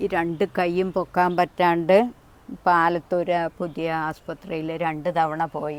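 With flat, monotone intonation, a woman talks in a fairly low register. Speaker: elderly mother in need. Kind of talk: interview.

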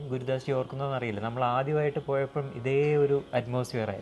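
A man speaks in a monotone, with flat intonation. There is light background noise. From Kerala, India. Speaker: spiritual channel host. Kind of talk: interview. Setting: meditation centre. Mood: calm, respectful. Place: hall. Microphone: lapel.

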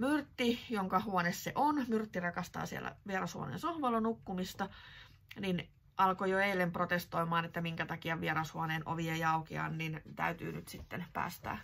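A woman's plain, everyday voice, fairly low in pitch, with ordinary pitch variation. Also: fairly slow pace. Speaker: knitting vlogger. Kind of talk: casual vlog chat. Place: home room. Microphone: phone near.

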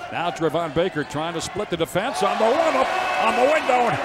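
Against loud background noise in a dry space with no echo, a high-pitched man sounds excited and animated, his pitch swinging very widely. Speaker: basketball play-by-play announcer. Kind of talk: live sports commentary, play-by-play of a basketball game. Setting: arena, game broadcast (archive). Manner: fast, rapid-fire, excited play-by-play calls; animated, upbeat; rises on big plays. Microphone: headset.

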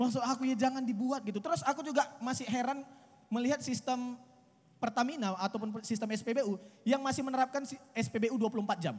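Fairly even intonation at a fairly quick pace. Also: man, extremely high pitch for a man. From Medan, North Sumatra, Indonesia. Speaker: stand-up comedian. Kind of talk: stand-up comedy. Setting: stage with live audience outdoors. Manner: conversational, casual, punchlines paced for laughter and applause. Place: stage. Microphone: handheld.

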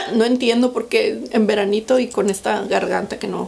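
A woman talks at a moderate pace in a medium pitch. Her slightly mellow tone carries some vocal fry. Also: ordinary pitch variation.

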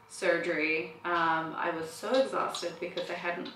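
A woman's voice amid audible room echo and light background noise. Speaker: new mother vlogger. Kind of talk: casual vlog chat. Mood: warm, reflective. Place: home room. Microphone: camera far.

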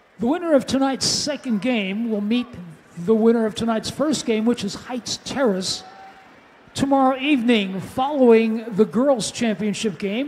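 The voice keeps a moderate pace over noticeable background noise. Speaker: public address announcer. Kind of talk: PA announcements, formal. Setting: PA system in gym.

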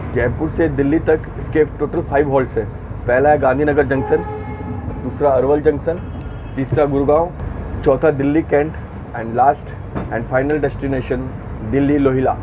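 Against noticeable background noise, a man speaks at a fairly slow pace in a monotone, flat intonation, with long, frequent pauses. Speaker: travel vlogger. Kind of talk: casual vlog chat. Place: train. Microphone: earbuds.

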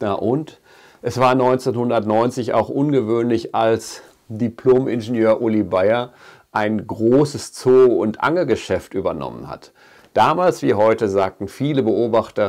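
Against a quiet background, a man talks at a very slow pace with ordinary pitch variation. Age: 50s. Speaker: fishing shop owner and angling YouTuber; angling YouTuber. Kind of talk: video address to viewers. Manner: earnest. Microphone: lapel.

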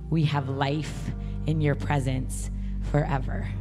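The speech moves at a very slow pace while clear music plays in the background. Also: woman. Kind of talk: prayer and scripture reading. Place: stage. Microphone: handheld.

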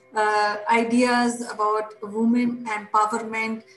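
A woman speaks in a room with audible echo while faint music plays in the background. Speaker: show host. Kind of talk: show host introduction. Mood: somber, respectful. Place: home room. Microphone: webcam.

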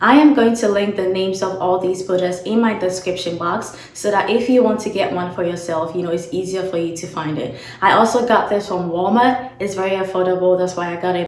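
A woman talks at a fairly quick pace with hardly any pauses and ordinary pitch variation. Audible room echo surrounds her voice. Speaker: beauty content creator. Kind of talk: tutorial. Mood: friendly, upbeat. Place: home room. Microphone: phone near.

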